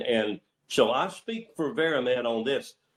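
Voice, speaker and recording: A man with a Southern US accent at a very slow pace, with very wide pitch swings. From Northeast Tennessee. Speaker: healthcare provider network executive. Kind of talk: business presentation on conference call. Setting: conference call. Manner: rambling, many fillers.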